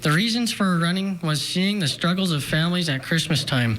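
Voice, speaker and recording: An unremarkable speaking voice with a Canadian accent and lively intonation. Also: man. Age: 20s. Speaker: mayoral candidate. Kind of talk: political speech. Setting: TV studio.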